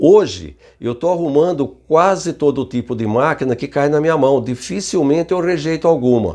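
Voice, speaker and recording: A man speaks in a fairly high pitch with very wide pitch swings and vocal fry. His tone is dark and mellow. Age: 70s. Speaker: retired barbershop equipment repairman. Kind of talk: casual talk to camera. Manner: conversational, with hesitations.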